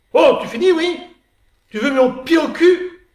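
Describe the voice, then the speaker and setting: A man's gruff, put-on character voice at an extremely high pitch. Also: fairly slow pace. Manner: irritated, scolding.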